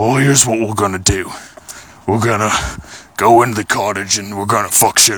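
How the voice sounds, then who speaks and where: A man puts on a raspy, growling character voice at a fairly low pitch. He talks at a fairly quick pace but leaves long, frequent pauses. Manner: gruff, brash.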